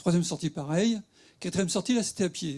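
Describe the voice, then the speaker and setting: A man's dark, mellow tone at a fairly quick pace, ordinary pitch variation, very clean recording with a silent background. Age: 60s. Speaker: patient giving testimony. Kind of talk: testimony at a conference. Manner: casual, hesitant.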